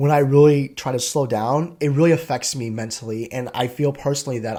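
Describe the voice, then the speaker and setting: A man talks at a fairly quick pace with hardly any pauses, using a medium pitch and ordinary pitch variation. His tone is dark and mellow, and the recording is very clean with a silent background. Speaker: tech content creator, identity and access management manager. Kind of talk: casual vlog monologue. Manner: fast.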